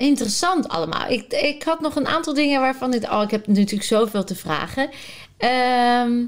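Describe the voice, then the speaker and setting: Her intonation lively, a woman speaks in a high voice. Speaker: podcast host. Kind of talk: in-depth interview. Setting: at guest's home. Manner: enthusiastic.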